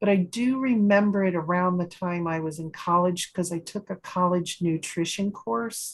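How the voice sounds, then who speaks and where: At a moderate pace with hardly any pauses, a woman speaks in a somewhat breathy, medium-pitched voice with ordinary pitch variation. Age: 60s. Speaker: support group host. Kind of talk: casual chat.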